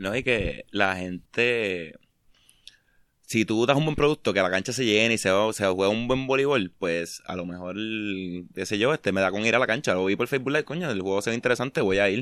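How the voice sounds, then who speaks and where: A man with an unremarkable speaking voice talks at a moderate pace, his fairly low pitch moving with ordinary variation against a quiet background. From Puerto Rico, Mayagüez. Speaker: podcast host. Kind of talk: casual chat.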